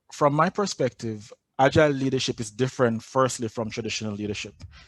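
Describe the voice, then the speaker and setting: Against a quiet background, a man talks with a Jamaican accent. The pace is moderate, and the sound is dry and close with no echo. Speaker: agile coach. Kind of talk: conference talk.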